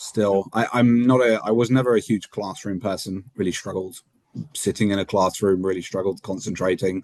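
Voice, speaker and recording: Dry and close with no echo, a man with a British accent talks at a fairly low pitch, his intonation fairly even. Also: moderate pace. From UK, moved to Netherlands at eight. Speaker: motorsport race engineer. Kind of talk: interview. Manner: many fillers and repetitions.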